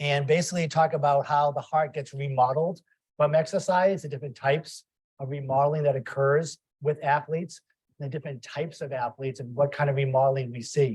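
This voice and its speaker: Somewhat breathy and with a slight Boston accent, the voice moves at a fairly quick pace with fairly even intonation. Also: man, fairly high pitch for a man. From Boston, US. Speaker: cardiac ultrasonography program director, lecturer. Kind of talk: lecture.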